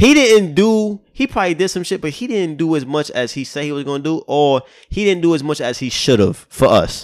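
In a very clean recording with a silent background, a man talks in an ordinary speaking voice at a fairly high pitch. His pace is fairly quick and his intonation lively, with hardly any pauses. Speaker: podcast host. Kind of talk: casual banter podcast conversation.

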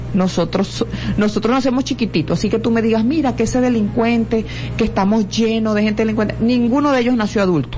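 Over noticeable background noise, a woman talks very fast, her loudness very even and her pitch variation ordinary. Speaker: lawyer and educator. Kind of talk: radio interview. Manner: halting, repeats words.

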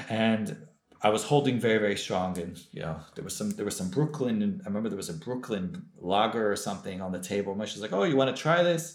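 Amid audible room echo, a man with an American accent speaks at a fairly quick pace with very wide pitch swings. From US West Coast (Los Angeles). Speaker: former rabbi, recovering alcoholic. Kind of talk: testimony.

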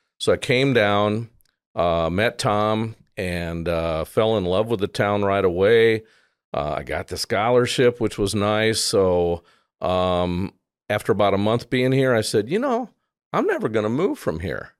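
Speaking fairly slowly with an American accent, a man uses ordinary pitch variation at a fairly low pitch. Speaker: advertising and media producer, musician. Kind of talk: casual interview chat.

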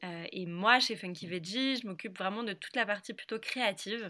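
A woman talks at a moderate pace in a bright, sharp tone. The recording is very clean, with a silent background. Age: 20s. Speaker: food brand co-founder. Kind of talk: interview.

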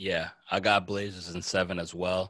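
A man with an American accent talks at a fairly quick pace in a very deep, low voice with a bright, sharp tone. The recording is very clean, with a silent background. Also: dry, close sound with no echo. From New Jersey. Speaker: sports podcast host. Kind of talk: casual chat. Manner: animated.

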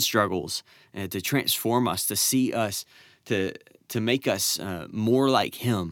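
A man speaks in a normal speaking voice at medium pitch, with ordinary pitch variation and a fairly slow pace. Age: 20s. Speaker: Bible study podcast host. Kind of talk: Bible teaching. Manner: casual with frequent fillers.

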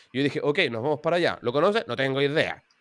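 In a very clean recording with a silent background, a man speaks fairly quickly at a fairly high pitch with ordinary pitch variation. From Chile, Santiago. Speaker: programming teacher and YouTuber. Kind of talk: interview.

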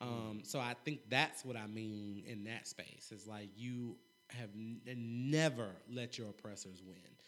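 A man with an American accent speaks in a normal speaking voice at medium pitch and a fairly slow pace, with big swings in loudness. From North Carolina. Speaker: mental health and financial literacy advocate. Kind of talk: casual interview.

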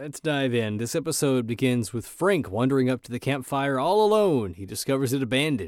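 In a very clean recording with a silent background, a man with a normal speaking voice and medium pitch talks at a fairly quick pace, his intonation lively and his loudness swinging widely. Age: 30s. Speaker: podcast co-host. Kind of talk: casual chat.

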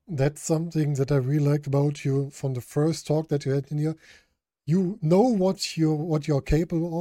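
Over a very clean recording with a silent background, a man speaks in a German accent at a moderate pace. His dark, mellow voice is fairly high and fairly even in intonation. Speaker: podcast host. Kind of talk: interview.

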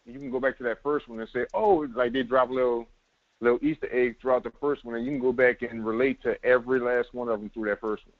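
A man with a New Orleans accent, very fast in pace, with fairly even intonation. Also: medium pitch for a man. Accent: New Orleans Southern. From New Orleans, US South. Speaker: semi-pro football player. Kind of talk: casual sports podcast interview.

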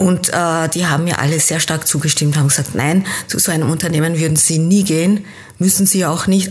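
With an unremarkable speaking voice, a woman talks at a moderate pace and a fairly low pitch. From Austria, teen years in Kenya. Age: 50s. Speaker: business coach. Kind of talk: interview.

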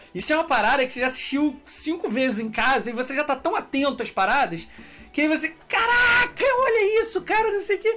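A man speaks in a raised, projected voice at a very fast pace with very wide pitch swings amid noticeable background noise. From Brazil, Petrópolis (Rio de Janeiro state). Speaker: podcast host. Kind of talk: casual chat. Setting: live stream.

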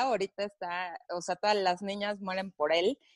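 In a dry, close sound with no echo and a quiet background, a woman speaks with a Mexican accent. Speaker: podcast host. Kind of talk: casual chat.

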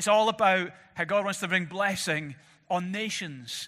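A raised, projected voice with a bright, sharp tone speaks at a fairly slow pace with ordinary pitch variation, on a very clean recording against a silent background. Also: man. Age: 40s. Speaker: pastor. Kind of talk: sermon. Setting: church.

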